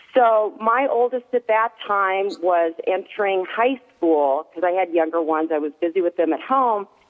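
This woman has an unremarkable speaking voice at a medium pitch. She speaks at a moderate pace with lively intonation and hardly any pauses. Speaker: mother of an actor, prayer advocate. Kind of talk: casual chat.

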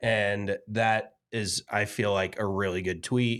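Background silence leaves the recording very clean. Delivery is monotone and flat in intonation. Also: man. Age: 20s. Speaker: golf podcast co-host. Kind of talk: casual chat.

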